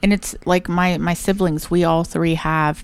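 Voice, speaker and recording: A woman speaks with an Appalachian accent. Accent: Appalachian Ohio. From southern Ohio, Portsmouth. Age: 30s. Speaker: podcast co-host. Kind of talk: casual chat.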